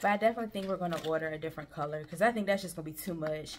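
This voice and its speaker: A woman is speaking. Background noise is noticeable. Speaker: vlogger. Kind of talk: casual vlog chat. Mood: relaxed, chatty. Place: home room. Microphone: camera far.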